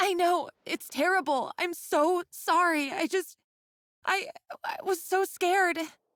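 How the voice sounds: A woman's put-on character voice, extremely high-pitched with a fairly bright tone, ordinary pitch variation and a slow pace, in a dry, close sound with no echo on a very clean recording with a silent background.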